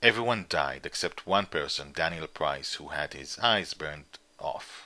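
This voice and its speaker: A man talks at a fairly slow pace. His tone is bright and sharp. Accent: Israeli. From Israel. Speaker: comic book writer and publisher. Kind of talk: interview. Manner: halting.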